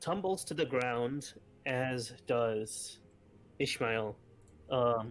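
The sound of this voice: The speaker reads in an unforced reading voice.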